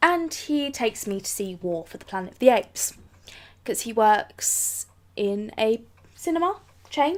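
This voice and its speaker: A woman with a fairly high pitch speaks with very wide pitch swings, big swings in loudness, and long, frequent pauses. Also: moderate pace. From England. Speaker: vlogger. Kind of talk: casual talk to camera.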